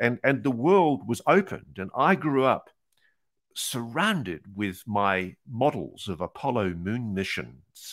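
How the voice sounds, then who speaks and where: In a very clean recording with a silent background, a man with an Australian accent speaks with lively intonation. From New Zealand and Australia, born in UK. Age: 60s. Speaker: investigative journalist. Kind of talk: interview.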